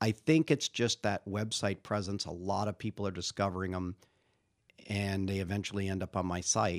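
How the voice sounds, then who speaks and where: In a very clean recording with a silent background and a dry, close sound with no echo, a man with an unremarkable speaking voice talks at a moderate pace and fairly low pitch with ordinary pitch variation. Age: 50s. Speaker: Indian club trainer and maker. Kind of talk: interview.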